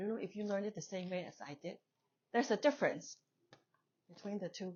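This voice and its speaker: The speaker talks very fast with a Chinese accent. Pitch variation is ordinary. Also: woman, medium pitch for a woman. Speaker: English teacher. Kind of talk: lecture. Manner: conversational.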